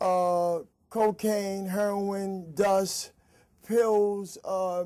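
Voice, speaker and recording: A man's high-pitched voice, dark and mellow in tone, flat and monotone at a very slow pace on a very clean recording with a silent background. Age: 60s. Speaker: recovering addict, peer counselor. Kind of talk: testimony. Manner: halting.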